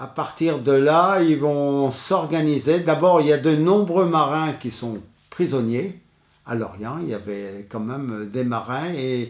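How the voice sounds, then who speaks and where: Very slowly, a man talks with lively intonation at a fairly high pitch. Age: 80s+. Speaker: war witness. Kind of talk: testimony. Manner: halting, many hesitations.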